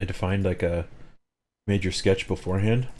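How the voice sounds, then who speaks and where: This man's fairly low voice keeps a moderate pace. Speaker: streamer teaching 3D modelling. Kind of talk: live tutorial stream.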